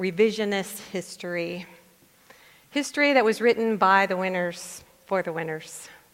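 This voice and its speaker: At a fairly slow pace with ordinary pitch variation, the speaker has a normal speaking voice. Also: woman. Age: 60s. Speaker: pastor. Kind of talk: sermon.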